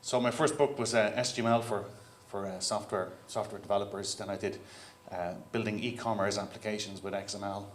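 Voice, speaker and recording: A man with an Irish accent, fairly low in pitch, at a fairly quick pace with fairly even intonation and audible room echo. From Ireland. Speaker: keynote speaker, software CTO. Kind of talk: conference keynote talk. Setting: stage with audience. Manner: casual, conversational.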